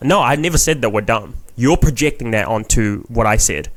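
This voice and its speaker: With an animated tone, a man in a New Zealand accent speaks at a moderate pace. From New Zealand, Filipino heritage. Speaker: comedian. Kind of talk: casual chat.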